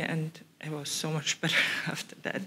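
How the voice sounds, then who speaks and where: The pace of the speech is moderate. A non-native accent can be heard. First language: not English. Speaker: ERC grant holder, researcher. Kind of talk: panel discussion.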